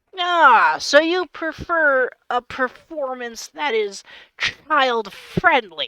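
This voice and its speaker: In a put-on character voice that sounds female and high-pitched, the speaker goes at a very slow pace. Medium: actual play. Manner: verbose, courteous.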